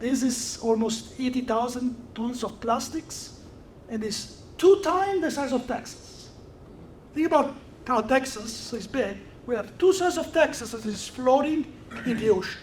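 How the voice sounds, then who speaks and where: A man with an extremely high pitch and an Italian accent, at a moderate pace amid audible room echo. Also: ordinary pitch variation. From Italy. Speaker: research chemist. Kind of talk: lecture.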